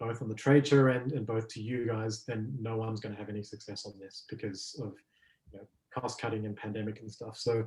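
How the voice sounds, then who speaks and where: The voice has an Australian accent, a fairly quick pace and fairly even intonation. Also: man. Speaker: business development executive. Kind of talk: webinar presentation with Q&A. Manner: hesitant with frequent fillers.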